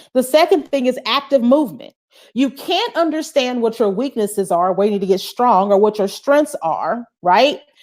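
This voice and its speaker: Loud and animated, a woman speaks at a moderate pace in a high pitch with lively intonation. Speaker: soul care coach and motivational speaker. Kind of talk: live-stream motivational talk.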